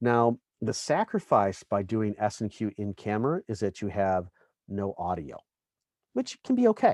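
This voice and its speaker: Close and dry with no echo, a man's fairly low voice moves at a moderate pace. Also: ordinary pitch variation. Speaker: camera technical specialist teaching a class. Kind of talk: online tutorial class. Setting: online presentation stage. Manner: loud.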